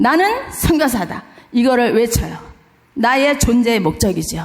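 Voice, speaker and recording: Over noticeable background noise and audible room echo, a woman speaks at a fairly slow pace in a high pitch, with an animated tone and lively intonation. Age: 60s. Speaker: missionary. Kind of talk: sermon. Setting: church.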